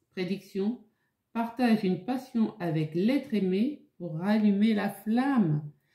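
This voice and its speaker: A woman's somewhat breathy voice, dark and mellow in tone, fairly high in pitch, at a very slow pace with ordinary pitch variation. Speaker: tarot card reader. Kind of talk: tarot reading video. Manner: halting, stammers.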